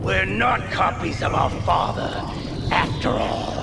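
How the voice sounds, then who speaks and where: A man's put-on character voice, fairly low in pitch and fairly slow in pace, over loud background noise. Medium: short film.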